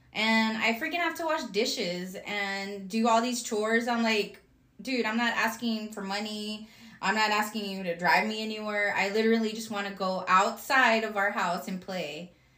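A woman speaks with a fairly high pitch. Background noise is noticeable. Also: ordinary pitch variation, moderate pace. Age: 30s. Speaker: podcast co-host. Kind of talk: casual chat.

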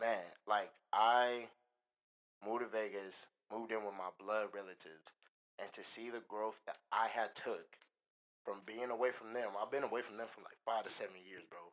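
Pausing long and often, a man speaks at a moderate pace with fairly even intonation. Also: medium pitch for a man, big swings in loudness. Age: 20s. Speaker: podcast guest. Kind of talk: casual chat.

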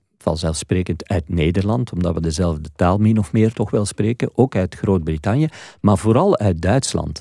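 A man speaks at a moderate pace in a fairly low pitch with a dark, mellow tone. The sound is dry and close with no echo, on a very clean recording with a silent background. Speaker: radio presenter. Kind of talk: interview.

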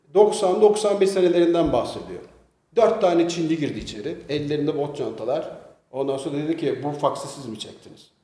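Amid audible room echo, a man speaks at a moderate pace. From Istanbul, Turkey. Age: 50s. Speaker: businessman. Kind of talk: casual interview.

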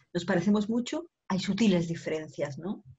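The speaker is a woman at a medium pitch. Her voice is somewhat breathy. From Spain, Barcelona. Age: 50s. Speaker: women's coach. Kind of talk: interview.

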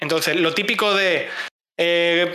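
A man uses a raised, projected voice at a fairly slow pace. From Spain, Cáceres (Extremadura). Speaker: community manager and streamer. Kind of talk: casual chat.

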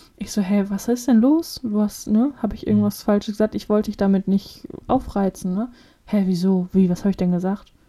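A woman with a medium pitch and a dark, mellow, somewhat breathy tone talks at a fairly quick pace with ordinary pitch variation. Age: 20s. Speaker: podcast co-host. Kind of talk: casual chat.

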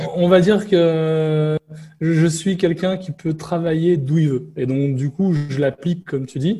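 A man with a plain, everyday voice talks fairly slowly at a fairly high pitch. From France. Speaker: digital nomad and IT security entrepreneur. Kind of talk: casual interview.

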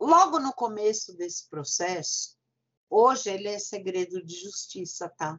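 The pace is fairly slow. Intonation is lively throughout. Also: woman, medium pitch for a woman, big swings in loudness. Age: 50s. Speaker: political commentator, daughter of a public figure. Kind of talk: casual chat. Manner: animated.

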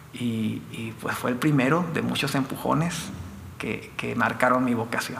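A man at a fairly slow pace, with audible room echo and noticeable background noise. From Mexico, Chihuahua (Delicias). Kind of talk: testimony.

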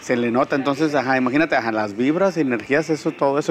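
A man's medium-pitched voice at a very fast pace with ordinary pitch variation, music in the background. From Tijuana, Baja California, Mexico. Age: 30s. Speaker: strength and conditioning coach, gym owner. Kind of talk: interview.

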